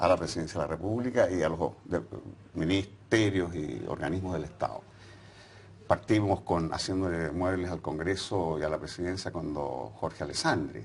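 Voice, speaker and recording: Vocal fry in a man's very deep, low voice, with a moderate pace and ordinary pitch variation. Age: 70s. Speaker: former political activist. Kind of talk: interview. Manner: hesitant, with fillers.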